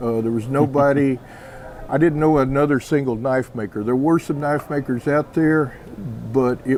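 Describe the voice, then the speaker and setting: A man speaks at a moderate pace in an ordinary speaking voice with fairly even intonation. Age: 60s. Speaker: knifemaker. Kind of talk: interview.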